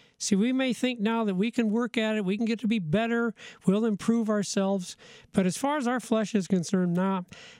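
On a very clean recording with a silent background, a man talks at a high pitch and a very fast pace with ordinary pitch variation. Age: 60s. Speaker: pastor. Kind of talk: Bible study discussion. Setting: studio. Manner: conversational, frequent repetitions and laughter.

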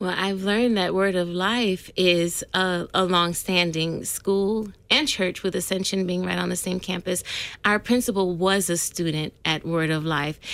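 With an American accent, a woman in a plain, everyday voice speaks at a medium pitch and a fairly slow pace, her intonation fairly even. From California. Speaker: school parent and school office worker. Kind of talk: radio interview. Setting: studio.

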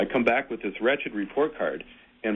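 At a fairly quick pace, a man talks at a medium pitch with ordinary pitch variation. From US Midwest, Michigan (Frankenmuth). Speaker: Lutheran pastor. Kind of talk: casual radio conversation.

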